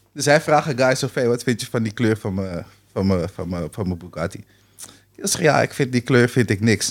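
A man is speaking. His pace is fairly quick. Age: 30s. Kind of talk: casual chat.

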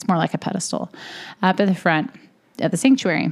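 The woman's voice carries vocal fry. Her pitch is medium. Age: 30s. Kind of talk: solo podcast monologue.

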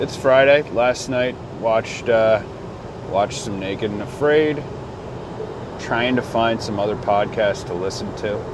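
Against noticeable background noise, a man of medium pitch talks at a fairly slow pace with ordinary pitch variation and long, frequent pauses. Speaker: podcast host. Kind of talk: casual solo podcast ramble. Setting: in a car. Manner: rambling, casual, profane.

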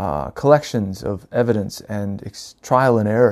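On a very clean recording with a silent background, a man with an American accent and a dark, mellow tone talks at a moderate pace. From US South, North Carolina. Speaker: podcaster, spiritual storyteller. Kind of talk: reflective solo monologue. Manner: halting, many fillers.

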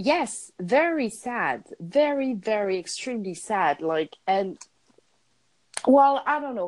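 A woman's fairly high voice in a French accent, very slow, with very wide pitch swings and long, frequent pauses. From France. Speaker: podcast co-host. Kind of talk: casual chat. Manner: halting.

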